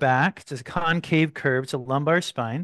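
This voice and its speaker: Against a quiet background, a man with a plain, everyday voice speaks at a moderate pace with ordinary pitch variation, the sound dry and close with no echo. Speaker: meditation teacher. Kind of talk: live online yoga class and guided meditation discussion. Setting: live online video call class. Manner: warm, welcoming, casual.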